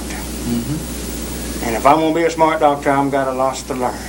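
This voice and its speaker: The speaker has a Southern US accent. Noticeable background noise runs underneath. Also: man. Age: young. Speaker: psychiatric patient. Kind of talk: interview answer.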